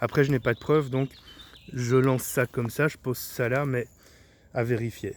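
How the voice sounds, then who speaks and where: His pitch is medium, and this man's intonation stays monotone and flat. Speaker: esoteric teacher / YouTuber. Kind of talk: spoken video monologue. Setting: outdoors in a forest.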